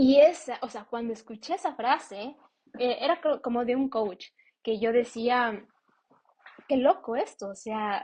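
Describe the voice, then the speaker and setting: Speaking at a fairly slow pace with long, frequent pauses, a woman has a high pitch and ordinary pitch variation. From Ecuador. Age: 20s. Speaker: podcast co-host. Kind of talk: interview. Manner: casual, lots of fillers.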